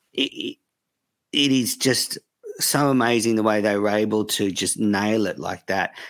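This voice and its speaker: A man with fairly low pitch has a normal speaking voice. His intonation is fairly even, and his pace is moderate. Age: 40s. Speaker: cricket podcaster. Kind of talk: casual interview chat.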